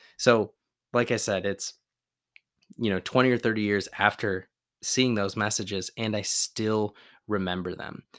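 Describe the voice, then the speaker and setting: A man's fairly low, monotone, flat voice at a moderate pace, with long, frequent pauses, on a very clean recording with a silent background. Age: 30s. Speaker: podcast host and endurance coach. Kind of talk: solo motivational podcast talk.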